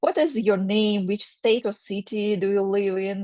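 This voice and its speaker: In a dry, close sound with no echo, a woman with a Russian accent speaks at a fairly slow pace and medium pitch. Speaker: career counselor. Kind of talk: workshop presentation. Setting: video call. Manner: halting, many fillers.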